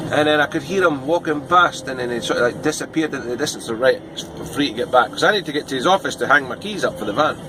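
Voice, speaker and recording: A man speaks very fast in a Scottish accent, his pitch fairly high with ordinary variation. Music plays in the background. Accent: Scottish, toned down for viewers. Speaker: van delivery driver and vlogger. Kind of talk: casual vlog monologue. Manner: hesitant, many fillers.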